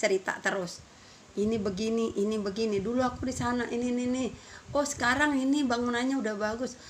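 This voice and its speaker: High pitch and a fairly quick pace from a woman. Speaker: vlogger. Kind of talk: casual vlog chat.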